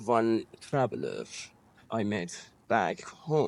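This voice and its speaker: The speaker has an Iranian accent. The recording is very clean, with a silent background. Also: man. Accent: Iranian (Persian). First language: Persian. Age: 40s. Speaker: interviewee. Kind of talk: personal testimony. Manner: halting, frequent false starts.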